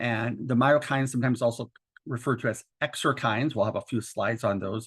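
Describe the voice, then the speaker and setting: A man with a plain, everyday voice talks fairly quickly at a medium pitch over a quiet background. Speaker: doctor and educator presenting a webinar. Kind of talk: lecture. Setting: webinar.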